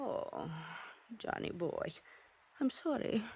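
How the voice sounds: A woman does a put-on character voice, fairly high in pitch with a dark, mellow tone and a slightly husky edge, at a slow pace. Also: lively intonation.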